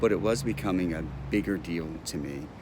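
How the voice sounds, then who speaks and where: Amid audible room echo, a man with a very deep, low pitch speaks at a fairly slow pace. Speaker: speech coach and person who stutters. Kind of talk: personal testimony vlog. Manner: repetitive hesitations.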